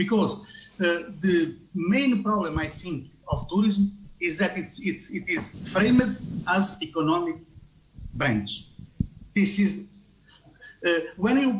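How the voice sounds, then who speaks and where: A man with a non-native accent, a high pitch, lively intonation, and a very slow pace, with audible room echo. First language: not English. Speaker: tourism researcher. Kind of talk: conference talk. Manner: halting.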